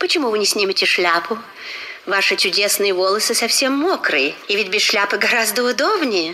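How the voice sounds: The voice is a natural one for reading. Its intonation moves in a lively way.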